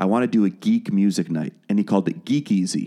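A man's dark, mellow, fairly low-pitched voice over a quiet background. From Wales. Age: 30s. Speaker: musician and podcast producer. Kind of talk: casual interview chat. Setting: studio.

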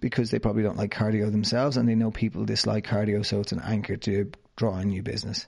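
Over a quiet background, a man with an Irish accent and a fairly low pitch talks very fast in a flat monotone. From Ireland, County Wicklow. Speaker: fitness trainer and podcast host. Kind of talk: interview, answering questions.

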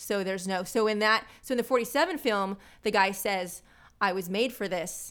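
A woman talks at a moderate pace in a normal speaking voice, medium in pitch with ordinary pitch variation. The recording is very clean, with a silent background. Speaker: podcaster and pinup model. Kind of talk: casual chat.

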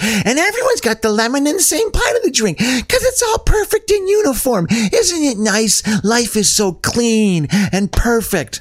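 A man's put-on character voice, pitched extremely high, at very even loudness. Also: moderate pace. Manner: mocking, sarcastic.

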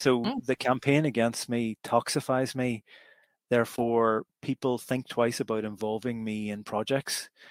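In a Derry accent, the speech is monotone and flat at a fairly slow pace, recorded very cleanly with a silent background and a dry, close sound with no echo. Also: man, medium pitch for a man. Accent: Northern Irish (Derry). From Northern Ireland, Derry. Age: 50s. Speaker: law professor. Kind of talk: interview.

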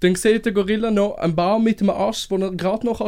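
The man's pitch is high. His intonation is fairly even. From Switzerland, Winterthur area. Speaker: chef. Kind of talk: casual chat. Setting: studio.

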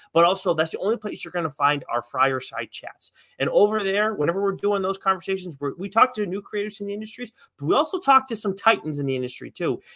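A man's raised, projected voice, high-pitched and bright and sharp, with lively intonation at a very fast pace, in a dry, close sound with no echo. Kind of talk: casual podcast banter, comics chat. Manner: rambling, chatty, laughs often, easygoing.

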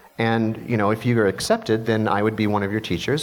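Music plays in the background as a man with an American accent talks. His pace is very fast and his pitch medium. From US Midwest, Missouri. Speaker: film and TV composer. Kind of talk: panel talk at a luncheon. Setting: jazz club stage with audience.

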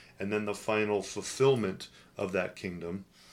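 At a moderate pace, a man with a West Coast US accent speaks in a fairly low voice. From US Pacific Northwest, Portland, Oregon. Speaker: executive pastor. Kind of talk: podcast discussion on theology.

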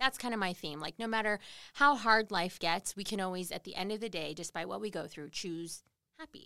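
A woman has an ordinary speaking voice at a medium pitch, with lively intonation and big swings in loudness. She goes at a fairly quick pace, and the sound is dry and close with no echo. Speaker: morning TV news host. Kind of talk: casual interview chat. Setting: livestreamed on social media.

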